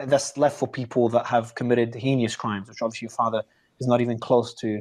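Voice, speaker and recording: Here a man speaks with an Australian accent. His intonation is fairly even. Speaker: interviewer. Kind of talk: interview.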